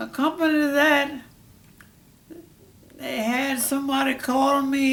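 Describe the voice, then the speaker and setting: A man speaks at a fairly slow pace with an extremely high pitch. His intonation stays fairly even. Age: 80s+. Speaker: World War II veteran. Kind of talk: interview answer.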